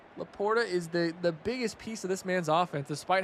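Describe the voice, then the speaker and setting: This man talks very fast in a high pitch. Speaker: esports commentator. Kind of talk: live commentary. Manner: animated.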